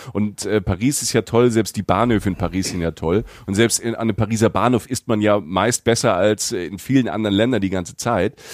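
An ordinary speaking voice from a man, pitched fairly low, moving at a fairly quick pace with ordinary pitch variation. The recording is very clean with a silent background and a dry, close sound with no echo. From Palatinate, southern Germany (Südpfalz). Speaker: travel podcaster and former radio host. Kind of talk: casual chat.

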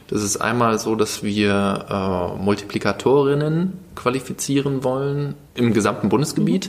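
A man's medium-pitched voice, fairly slow yet with hardly any pauses, lively in intonation, over noticeable background noise. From Germany, Lower Rhine (Krefeld). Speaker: youth participation educator at a foundation. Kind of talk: casual interview. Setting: quiet room at a barcamp. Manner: hesitant, many fillers.

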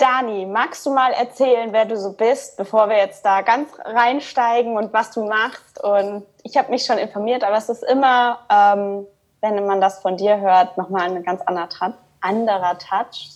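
A woman talks at a moderate pace with a fairly high pitch. Her pitch varies in an ordinary way. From Rhineland, Cologne, Germany. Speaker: podcast host, coach. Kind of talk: casual interview.

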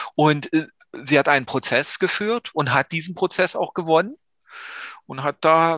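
On a very clean recording with a silent background, a man with a fairly high pitch uses a normal speaking voice, talking at a moderate pace with lively intonation. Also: dry, close sound with no echo. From East Germany. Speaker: music podcast co-host. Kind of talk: casual chat.

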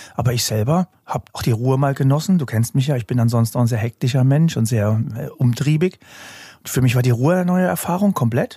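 A somewhat breathy man talks at a very fast pace with medium pitch and ordinary pitch variation. The sound is dry and close, with no echo. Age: 40s. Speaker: hypnotist and construction industry lecturer. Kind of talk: casual chat.

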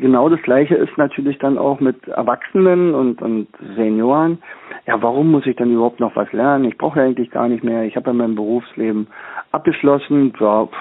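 Medium in pitch, a man's voice shows ordinary pitch variation. He talks at a fairly quick pace. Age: 60s. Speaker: teacher and learning trainer. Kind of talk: interview. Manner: halting, many fillers.

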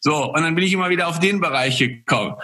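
Raised and projected, a man's high voice moves at a fairly quick pace with ordinary pitch variation. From Poland. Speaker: former pro cyclist and entrepreneur. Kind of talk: interview.

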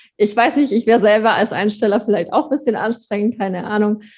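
A woman speaks at a very fast pace in a somewhat breathy, medium-pitched voice against a quiet background. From Allgäu, Bavaria/Swabia, southern Germany. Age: 20s. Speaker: pony owner and breeder. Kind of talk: casual interview chat.

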